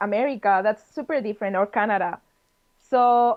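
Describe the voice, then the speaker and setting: With a Spanish accent, a woman speaks at a moderate pace with ordinary pitch variation. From Spain, Madrid. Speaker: game designer. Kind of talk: interview.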